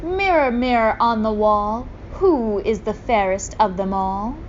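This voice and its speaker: At a fairly slow pace, a woman uses a put-on character voice with a fairly high pitch over clear background noise. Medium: read story. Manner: imperious.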